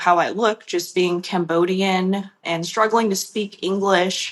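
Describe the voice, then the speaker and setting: A woman with an American accent, medium pitch and ordinary pitch variation. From Long Beach, California. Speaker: ceramist. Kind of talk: interview. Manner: casual, frequent 'like' fillers.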